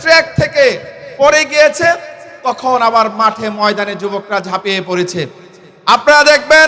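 Over noticeable background noise, a raised, projected voice carries lively intonation. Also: man. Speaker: Islamic cleric and political speaker. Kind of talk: political rally speech. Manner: oratorical, rhetorical repetition.

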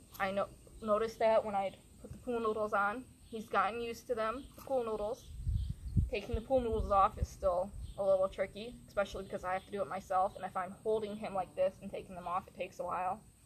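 The woman's delivery is very fast. There is light background noise. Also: fairly even intonation. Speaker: horse trainer. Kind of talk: tutorial. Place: open country.

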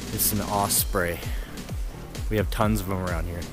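At a fairly slow pace, a man speaks in a dry sound with no echo. Clear music plays in the background. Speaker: hiker vlogger. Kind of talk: casual vlog chat. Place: open country. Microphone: phone near.

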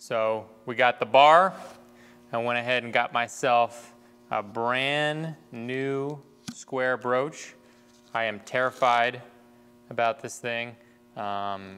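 Music plays behind a man who speaks very slowly with fairly even intonation and long, frequent pauses. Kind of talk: tutorial. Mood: relaxed, slightly nervous humor. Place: workshop. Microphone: lapel.

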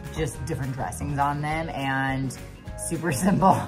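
A woman speaks while clear music plays in the background. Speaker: fitness coach vlogger. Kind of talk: casual vlog chat. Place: kitchen. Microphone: phone near.

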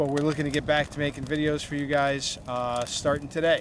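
A man talks at a fairly quick pace, the sound dry with no echo and noticeable background noise behind him. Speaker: small farm owner vlogger. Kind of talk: casual vlog chat. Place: open country.

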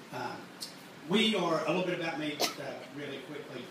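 Strong room echo and noticeable background noise surround a man speaking at a fairly quick pace. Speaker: merchandise company owner. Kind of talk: live workshop talk. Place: stage.

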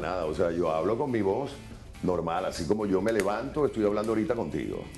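Faint music plays behind a man speaking at a very fast pace. His fairly low voice has lively intonation. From Venezuela. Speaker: radio announcer. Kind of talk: interview answer. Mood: relaxed, explaining. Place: bathroom. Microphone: lapel.

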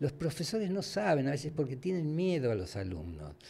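A man's dark, mellow voice at a moderate pace. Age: 80s+. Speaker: former radio and TV host; former radio, TV host. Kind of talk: casual interview. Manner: halting. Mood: warm, animated storytelling. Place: studio. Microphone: studio mic.

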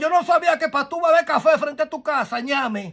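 A man's lively intonation comes through at a moderate pace against a quiet background. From Dominican Republic. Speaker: gossip commentator. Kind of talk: casual commentary. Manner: animated. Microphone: phone near.

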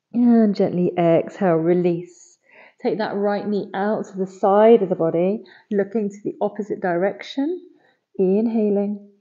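A soft-spoken woman talks at a fairly slow pace against a quiet background. Her intonation stays fairly even while her loudness swings a lot. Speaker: yoga teacher. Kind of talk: guided yoga class. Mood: calm, soothing.

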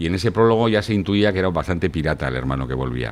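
A man speaks in a very deep, low voice at a very fast pace. His pitch swings very widely. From France until age 10, then Spain. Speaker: screenwriter and poet; poet. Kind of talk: casual interview chat. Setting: studio with camera. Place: bar. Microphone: studio mic.

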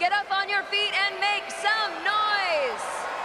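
A woman speaks in an extremely high pitch with a raised, projected voice over loud background noise. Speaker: on-court interviewer. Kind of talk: live event interviewing. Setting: stadium with crowd. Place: stadium. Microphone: pa.

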